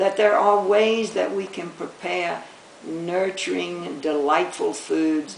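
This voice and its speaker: A woman at a fairly slow pace, with noticeable background noise and audible room echo. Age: 80s+. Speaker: retired doctor. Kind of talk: interview.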